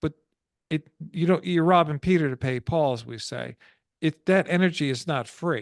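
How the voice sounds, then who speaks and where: Against a quiet background, a man has an unremarkable speaking voice at a fairly high pitch. The sound is dry and close with no echo, and his pitch variation is ordinary. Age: 60s. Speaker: stress prevention coach. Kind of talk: interview.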